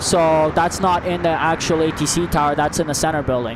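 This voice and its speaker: Against noticeable background noise, a man with a fairly high voice and a Canadian accent speaks in an animated tone. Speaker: plane spotting livestreamer. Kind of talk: live commentary, casual chat. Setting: outdoors at airport. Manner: fast.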